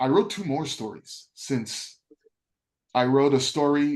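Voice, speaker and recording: A man talks fairly slowly, his fairly high pitch rising and falling in an ordinary way. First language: French. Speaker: writing student. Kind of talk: class discussion. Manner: halting.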